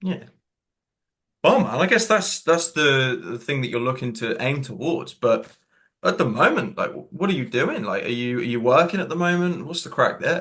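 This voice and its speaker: Here a man speaks in a Cornish accent. His pace is moderate. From Cornwall, England. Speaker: coach. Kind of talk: casual chat. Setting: video call.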